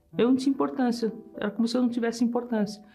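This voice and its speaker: Music plays in the background. Over it, a woman is speaking. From Brazil (São Paulo). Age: 70s. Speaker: engineer giving testimony. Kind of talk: testimony.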